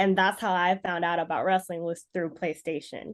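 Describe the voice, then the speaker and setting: In a Californian accent, a woman speaks at medium pitch with a monotone, flat intonation against a quiet background. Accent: Californian American. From Los Angeles, US. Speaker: professional wrestler. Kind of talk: interview.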